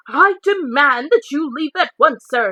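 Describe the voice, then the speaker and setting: A woman puts on a character voice with a high pitch, very wide pitch swings, and a fairly slow pace. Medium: read story. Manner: blustering, indignant.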